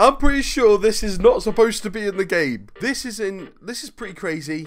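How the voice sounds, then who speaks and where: Against music in the background, a man with a British accent speaks fairly quickly at a high pitch, his loudness swinging widely. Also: lively intonation. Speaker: gaming YouTuber. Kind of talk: casual video intro. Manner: animated.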